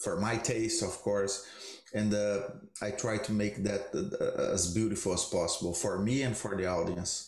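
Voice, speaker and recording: A man with a Brazilian accent speaks with lively intonation in a somewhat breathy voice. Audible room echo surrounds him. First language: Portuguese. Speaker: jazz guitarist. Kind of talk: roundtable discussion.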